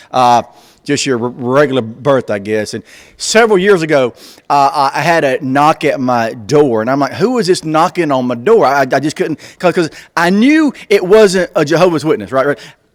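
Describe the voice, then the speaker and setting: Talking at a moderate pace, a man with a fairly high pitch speaks with a Southern US accent. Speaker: comedian. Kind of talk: stand-up.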